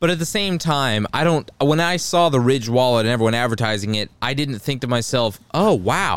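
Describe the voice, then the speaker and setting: A man's medium-pitched voice at a moderate pace, with hardly any pauses. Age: 20s. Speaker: podcast co-host. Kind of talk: casual chat. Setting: home studio. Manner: loud.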